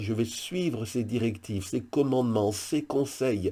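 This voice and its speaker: Recorded very cleanly over a silent background, a man speaks in a dark, mellow tone at a medium pitch, with ordinary pitch variation. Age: 60s. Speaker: pastor. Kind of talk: devotional video message.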